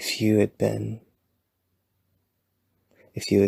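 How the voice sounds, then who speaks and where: The voice is soft-spoken and moves at a fairly slow pace. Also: man. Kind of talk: ASMR boyfriend roleplay. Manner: soft-spoken, rambling.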